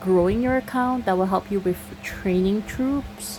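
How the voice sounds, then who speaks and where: At a fairly slow pace, a woman with a Singaporean accent speaks in a medium pitch with fairly even intonation, against noticeable background noise. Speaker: gaming YouTuber. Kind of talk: casual Q&A chat. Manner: casual, with fillers and false starts.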